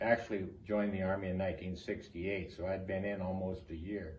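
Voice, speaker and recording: Somewhat breathy speech comes very fast, with an American accent. Room echo is audible. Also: man. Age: 70s. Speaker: army veteran. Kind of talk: oral history interview.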